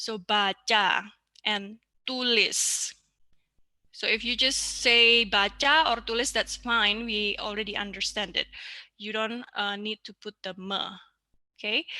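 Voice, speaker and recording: With an Indonesian accent, a woman speaks fairly slowly, leaving long, frequent pauses. Her fairly high voice has a bright, sharp tone and fairly even intonation. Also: very clean recording, silent background. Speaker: language teacher. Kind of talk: lecture.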